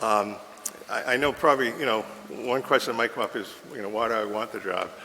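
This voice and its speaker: A man speaks at a very fast pace in an American accent, his pitch medium and its variation ordinary. Noticeable background noise runs under him. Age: 70s. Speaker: town manager candidate. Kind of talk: job interview. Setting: council chambers. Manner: halting.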